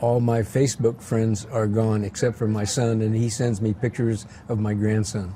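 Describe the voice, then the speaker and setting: A man talks at a moderate pace with hardly any pauses, his pitch medium. His intonation is flat and monotone, and his loudness stays very even. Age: 80s+. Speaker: retired high school teacher. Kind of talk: casual interview. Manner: halting, repeats words.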